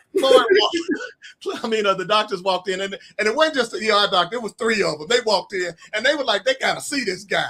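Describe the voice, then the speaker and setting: With an Arkansas accent, a man talks very fast in a raised, projected voice, pitched high with lively intonation. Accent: Southern US (Arkansas). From US South (Arkansas). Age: 60s. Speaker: author. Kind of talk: interview storytelling.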